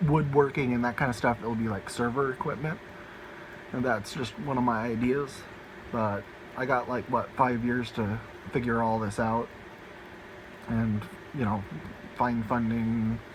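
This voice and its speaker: Noticeable background noise accompanies a man of medium pitch. He speaks at a fairly slow pace with fairly even intonation and long, frequent pauses. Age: 20s. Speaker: home server hobbyist, student. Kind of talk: casual tech walkthrough video. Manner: halting, many fillers.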